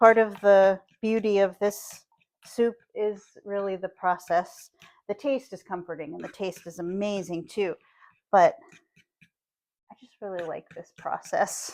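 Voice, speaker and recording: A woman of medium pitch speaks in a Pittsburgh accent at a fairly slow pace, with ordinary pitch variation and long, frequent pauses. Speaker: cooking channel host. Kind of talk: cooking tutorial. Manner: casual, chatty.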